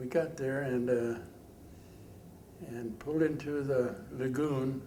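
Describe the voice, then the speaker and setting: Over noticeable background noise, a man with a medium-pitched voice talks at a very slow pace with fairly even intonation. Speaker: war veteran. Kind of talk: interview answer. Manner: hesitant, halting.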